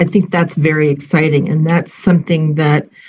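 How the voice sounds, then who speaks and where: Somewhat breathy, the voice keeps to a moderate pace. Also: woman. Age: 60s. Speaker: civil society program leader. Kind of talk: panel discussion. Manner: hesitant, many fillers.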